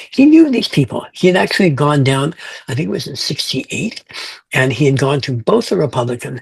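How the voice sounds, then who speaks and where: Lively intonation marks this man's fairly high pitch. He speaks at a fairly quick pace in a somewhat breathy voice. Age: 70s. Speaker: fantasy author. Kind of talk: interview. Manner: halting.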